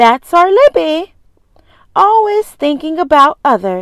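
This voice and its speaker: A woman puts on a squeaky character voice at an extremely high pitch. She speaks fairly slowly, her pitch swinging very widely. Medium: read story. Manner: sweetly doting, brisk.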